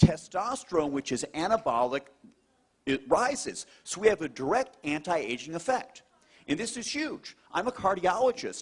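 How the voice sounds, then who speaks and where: Pitched high for a man, this animated male speaker moves at a moderate pace with very wide pitch swings and big swings in loudness. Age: middle-aged. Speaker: cardiologist. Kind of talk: testimony.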